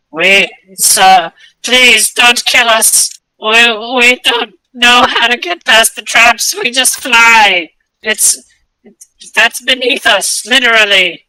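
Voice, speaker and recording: Very slow and fairly high-pitched, this put-on character voice leaves long, frequent pauses. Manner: pleading, frightened.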